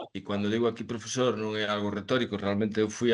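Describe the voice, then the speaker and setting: Against a quiet background, a man speaks in a flat monotone. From Galicia, Spain (Redondela). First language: Galician (speaking Portuguese). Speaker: professor. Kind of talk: academic lecture. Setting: video call. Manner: halting.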